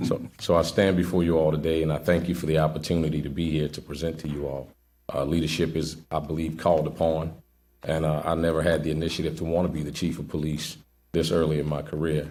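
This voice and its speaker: In a room with audible echo, a man with a very deep, low pitch and a dark, mellow tone talks very fast in a flat monotone. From New Orleans, Louisiana. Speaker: police sergeant, job candidate. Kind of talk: job interview before committee. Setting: public committee meeting, broadcast. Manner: halting, with fillers and repetitions.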